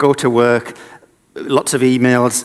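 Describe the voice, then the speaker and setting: A man with a northeast English accent, a medium pitch and a fairly slow pace. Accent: northeast England (Sunderland). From northeast England (Sunderland). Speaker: inventor and designer running a children's invention project. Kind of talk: conference presentation.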